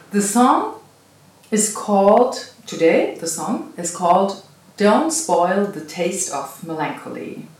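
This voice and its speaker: The speech goes at a very slow pace with noticeable background noise. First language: not English. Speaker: meditation channel host. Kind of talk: casual interview. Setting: cottage B&B in the Netherlands.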